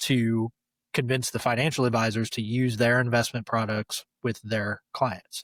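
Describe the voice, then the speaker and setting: Here a man with an American accent speaks in an unremarkable speaking voice at medium pitch and a moderate pace. His intonation is fairly even, and the recording is very clean with a silent background. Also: dry, close sound with no echo. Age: 40s. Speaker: former fund wholesaler. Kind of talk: interview.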